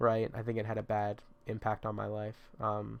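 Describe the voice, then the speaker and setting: A man's fairly low voice at a moderate pace. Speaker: vlogger. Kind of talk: casual chat. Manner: halting.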